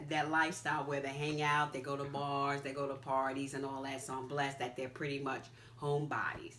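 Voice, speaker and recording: A woman with an American accent and a very deep, low pitch, speaking at a fairly quick pace with monotone, flat intonation, amid noticeable background noise and audible room echo. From New York. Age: 60s. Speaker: interviewee, mother and grandmother. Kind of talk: interview.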